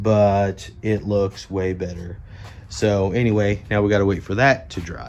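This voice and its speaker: Fairly low in pitch, a man speaks at a fairly slow pace. His intonation stays fairly even. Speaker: DIY home renovation vlogger. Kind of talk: casual vlog narration. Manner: casual with many fillers; quiet, trying not to wake family.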